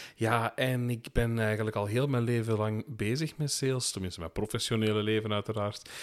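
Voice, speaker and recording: With a normal speaking voice, a man talks at a medium pitch and fairly quick pace with fairly even intonation and hardly any pauses, on a very clean recording with a silent background. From Belgian Limburg. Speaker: podcast co-host, retail sales professional. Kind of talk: casual chat. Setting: home attic recording.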